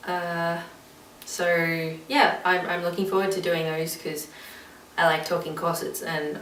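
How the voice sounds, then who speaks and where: A woman speaks with fairly even intonation. Noticeable background noise and audible room echo are present. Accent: Australian. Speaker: vlogger. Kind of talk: casual vlog chat. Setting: recorded alone on camera. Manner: rambling, many fillers.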